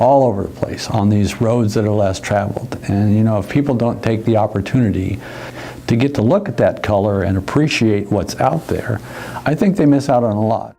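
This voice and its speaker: There is noticeable background noise while a man talks, his pitch varying in an ordinary way. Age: 70s. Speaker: part-time wine courier. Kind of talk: casual personal reflection interview. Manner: halting, with hesitations and repeats.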